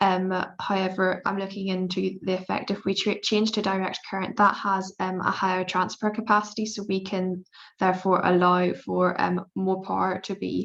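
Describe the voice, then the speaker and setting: Against a quiet background, a woman with a Belfast accent speaks at a moderate pace in a medium pitch, her intonation monotone and flat. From Northern Ireland, Belfast. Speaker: PhD student in electrical engineering. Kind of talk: panel presentation. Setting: video call webinar. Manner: hesitant, many fillers.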